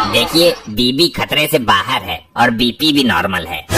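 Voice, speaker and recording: A man puts on a cartoonish character voice at a medium pitch and moderate pace, with faint music in the background. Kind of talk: comic overacting.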